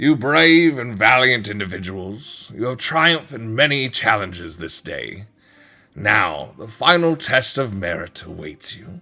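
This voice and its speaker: A man's booming put-on character voice at a fairly slow pace, in a very clean recording with a silent background. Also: medium pitch for a man. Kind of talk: formal, grandiose. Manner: booming, proclaiming.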